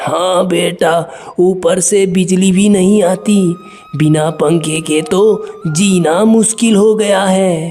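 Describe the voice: A cartoonish character voice at a middle pitch drawls at a very slow pace over faint background music.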